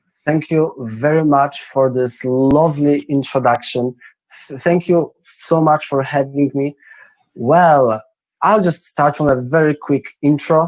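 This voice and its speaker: A man's fairly high voice with a Polish accent, fairly even intonation and a fairly slow pace. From Poland, Krakow. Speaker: entrepreneur. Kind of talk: interview. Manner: halting.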